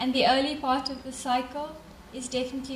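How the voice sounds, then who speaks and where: Over noticeable background noise and audible room echo, a woman speaks at a moderate pace in a monotone, flat intonation. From South Africa. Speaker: development bank representative. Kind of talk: conference closing remarks. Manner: hesitant, many fillers.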